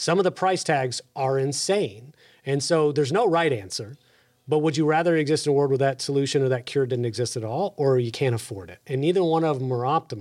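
Speaking at a very fast pace, a man with a fairly high pitch uses lively intonation on a very clean recording with a silent background. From Texas. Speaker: podcast host. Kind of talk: podcast interview.

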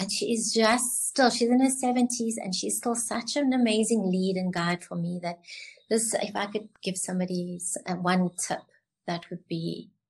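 A somewhat breathy woman at medium pitch, with ordinary pitch variation, a fairly slow pace, and a quiet background. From South Africa, Cape Town. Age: 70s. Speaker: beauty college founder. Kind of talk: casual interview chat.

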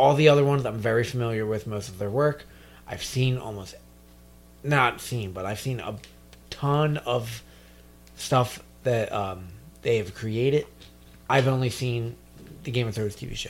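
Speaking at a moderate pace with long, frequent pauses, a man with a medium-pitched voice shows ordinary pitch variation and big swings in loudness. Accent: American. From New Jersey. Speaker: podcast co-host. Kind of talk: casual chat.

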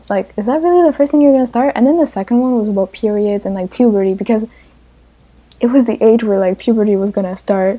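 A woman with a non-native accent, fairly high pitch and ordinary pitch variation at a very fast pace. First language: not English. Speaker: podcast co-host. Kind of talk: casual chat.

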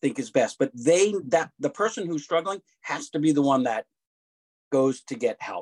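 At a moderate pace, a man speaks with ordinary pitch variation in a dry, close sound with no echo. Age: 60s. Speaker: author. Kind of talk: casual chat.

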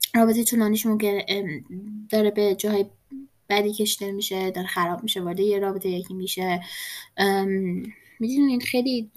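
With fairly even intonation, a woman of medium pitch talks with long, frequent pauses. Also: fairly quick pace. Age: 20s. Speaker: podcast host. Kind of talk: casual monologue. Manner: hesitant.

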